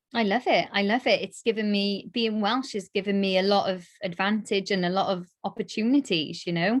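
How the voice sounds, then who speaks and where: Over a very clean recording with a silent background, a woman with a South Wales accent speaks at a moderate pace and medium pitch, with ordinary pitch variation and hardly any pauses. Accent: South Wales (Cardiff). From Wales, Cardiff. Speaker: darts presenter and radio DJ. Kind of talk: casual interview chat. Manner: animated.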